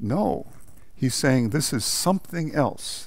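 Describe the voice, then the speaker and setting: With audible room echo around him, a man talks at a fairly slow pace with lively intonation. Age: 70s. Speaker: priest and liturgy professor. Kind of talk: lecture. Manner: halting, with false starts.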